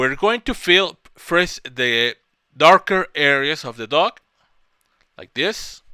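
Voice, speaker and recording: In a very clean recording with a silent background, a man's high-pitched voice carries a bright, sharp tone and very wide pitch swings. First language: Spanish. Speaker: software tutorial creator. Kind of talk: tutorial. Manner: halting, with self-corrections.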